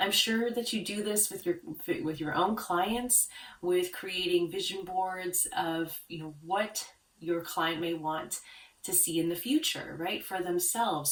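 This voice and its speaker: Over noticeable background noise, a woman speaks calmly at a fairly slow pace, her fairly low pitch showing ordinary variation. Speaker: branding consultant for art therapists. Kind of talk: tutorial.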